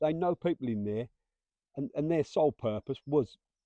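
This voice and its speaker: With an English accent, a man speaks at a moderate pace in a fairly high pitch, his dark, mellow tone captured in a dry, close sound with no echo. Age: 50s. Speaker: former prison officer. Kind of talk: casual chat.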